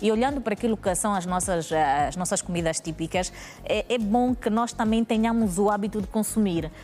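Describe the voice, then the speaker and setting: This woman has an unremarkable speaking voice, fairly high in pitch. She talks at a moderate pace with ordinary pitch variation. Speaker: talk show guest. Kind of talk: talk show discussion.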